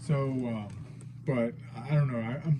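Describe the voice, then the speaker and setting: There is audible room echo as a man speaks in a somewhat breathy voice. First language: not English. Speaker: figure collector, unboxing youtuber. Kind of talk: unboxing video, casual. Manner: hesitant, many fillers.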